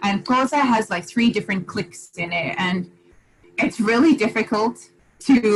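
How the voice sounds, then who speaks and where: Noticeable background noise surrounds a woman talking at a medium pitch. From Zimbabwe. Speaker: guest interviewee. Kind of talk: interview conversation.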